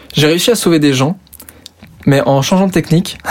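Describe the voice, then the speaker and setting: A man at a fairly quick pace with ordinary pitch variation, against noticeable background noise. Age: 20s. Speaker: youtuber. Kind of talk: casual interview. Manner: hesitant, many fillers.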